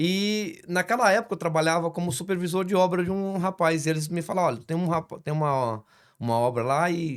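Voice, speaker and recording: In a normal speaking voice, a man talks at a fairly quick pace. His pitch is fairly high, with ordinary variation. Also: very clean recording, silent background. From Brazil, Espírito Santo. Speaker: construction business owner, church guest. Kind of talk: casual interview.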